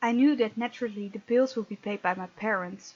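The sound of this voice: A woman with a fairly high pitch and a slightly husky edge talks at a moderate pace with ordinary pitch variation.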